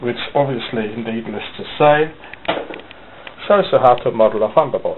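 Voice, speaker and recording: A man at a moderate pace, with a strong non-native accent, ordinary pitch variation and noticeable background noise. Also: medium pitch for a man, big swings in loudness. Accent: thick non-native. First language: not English. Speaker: hobby modeller, video maker. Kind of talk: casual show-and-tell video. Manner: halting, with fillers.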